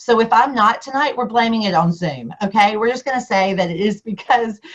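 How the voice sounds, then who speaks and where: A woman in a Southern US accent, fairly high in pitch, with ordinary pitch variation and a fairly quick pace. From US South. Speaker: district governor and Rotary speaker. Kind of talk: keynote speech. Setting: video call.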